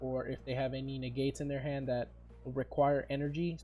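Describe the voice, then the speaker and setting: A man with a fairly high pitch and a somewhat breathy voice speaks at a moderate pace in a monotone, flat way. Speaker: card game content creator. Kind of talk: casual talk to camera.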